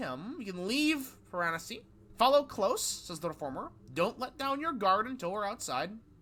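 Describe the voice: A plain read-aloud delivery full of lively intonation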